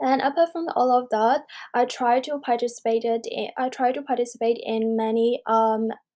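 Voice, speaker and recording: A woman speaks at a moderate pace with a dark, mellow tone and a fairly high pitch. The recording is very clean, with a silent background. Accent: Burmese. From Myanmar. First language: Burmese. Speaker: university student. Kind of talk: self-introduction video. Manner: halting, many fillers.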